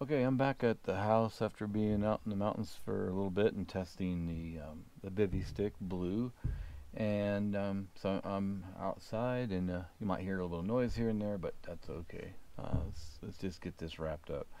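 A man speaks with a fairly low pitch and a dark, mellow tone. His pitch varies in an ordinary way, and the sound is dry with no echo. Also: moderate pace. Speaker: gear reviewer. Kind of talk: casual product demo. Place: garden.

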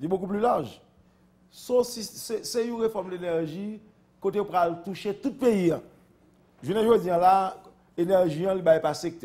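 This man speaks at a fairly slow pace in a high pitch with a dark, mellow tone, leaving long, frequent pauses. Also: ordinary pitch variation. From Haiti. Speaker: politician. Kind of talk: interview. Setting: studio. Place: studio. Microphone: lapel.

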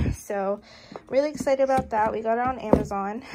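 A woman talks with fairly even intonation against noticeable background noise. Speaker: new mother vlogger. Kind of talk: casual vlog chat. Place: kitchen. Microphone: phone near.

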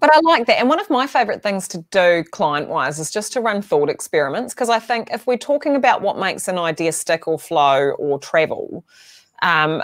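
A woman talks at a fairly quick pace with very wide pitch swings. The background is quiet. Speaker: podcast guest or host. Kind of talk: casual interview conversation. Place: home room.

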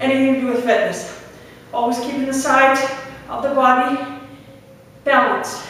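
Amid strong room echo, a woman with a high pitch speaks in a monotone, flat intonation at a moderate pace with long, frequent pauses. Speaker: fitness instructor. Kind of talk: live guided workout, barking interval cues and countdowns. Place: gym. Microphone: camera far.

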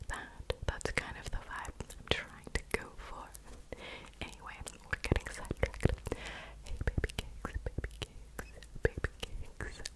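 Whispering at a fairly slow pace, a woman's loudness swings widely. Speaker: ASMR creator. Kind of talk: ASMR video. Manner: whispered. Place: home room. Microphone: studio mic.

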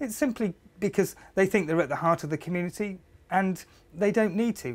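A man speaks at a fairly quick pace with a slightly mellow tone.

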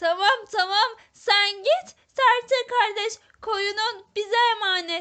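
Using a put-on character voice, a woman speaks very slowly at an extremely high pitch. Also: fairly even intonation. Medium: read story. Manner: amused, patronizing.

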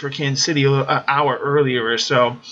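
With noticeable noise behind it, the talking goes at a moderate speed. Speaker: fantasy sports weather analyst. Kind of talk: weather report. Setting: screen-share video presentation. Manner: conversational, explanatory, matter-of-fact; measured, with filler 'um' and 'uh'.

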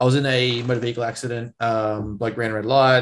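With an Australian accent, a man speaks at a fairly quick pace in a fairly even intonation. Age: 20s. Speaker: strength coach and podcast co-host; strength coach, podcast co-host. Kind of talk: casual chat. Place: home room. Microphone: video call.

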